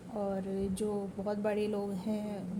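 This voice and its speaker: A woman speaks with a fairly high pitch. Audible room echo surrounds her voice. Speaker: vlogger. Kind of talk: casual vlog talk. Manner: quiet in public, louder at home.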